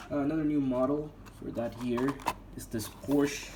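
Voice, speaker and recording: Noticeable background noise beneath fairly slow speech. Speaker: diecast collector video creator. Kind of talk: casual product review.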